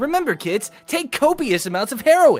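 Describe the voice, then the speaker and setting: A put-on character voice, high-pitched with very wide pitch swings, moves at a moderate pace over faint background music. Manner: upbeat, cocky, cartoonish.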